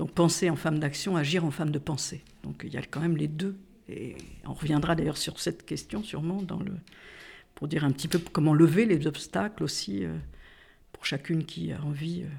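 With vocal fry and a very deep, low pitch, a woman talks at a moderate pace with ordinary pitch variation and long, frequent pauses. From Corsica. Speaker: feminist activist, publisher. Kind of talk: casual conversation / interview.

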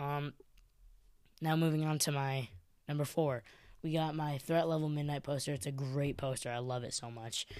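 A man with an American accent speaks at a moderate pace in a fairly even intonation, recorded very cleanly against a silent background. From Chicago, US Midwest. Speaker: podcast host. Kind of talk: casual solo podcast monologue.

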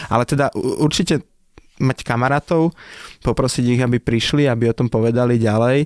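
A man with a plain, everyday voice at medium pitch speaks at a fairly quick pace with fairly even intonation and very even loudness, in a dry, close sound with no echo on a very clean recording with a silent background. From Slovakia, village near Nitra. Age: 30s. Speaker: restaurateur. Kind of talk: casual interview.

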